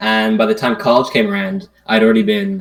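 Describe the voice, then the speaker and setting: With a Dublin accent, a man speaks at a fairly quick pace with very wide pitch swings. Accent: Irish (Dublin). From Ireland, Dublin. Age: 20s. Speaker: economics student, podcast guest. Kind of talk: casual chat.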